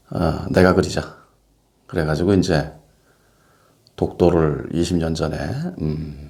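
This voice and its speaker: Very deep and low, a man's dark, mellow voice moves at a fairly slow pace. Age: 60s. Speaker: painter. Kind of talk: casual monologue to camera. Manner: hesitant, many fillers.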